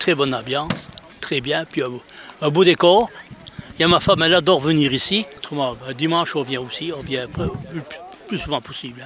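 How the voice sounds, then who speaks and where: Moderate pace with long, frequent pauses, ordinary pitch variation, big swings in loudness, and noticeable background noise. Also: man, fairly high pitch for a man. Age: 70s. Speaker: angler participant. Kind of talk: interview.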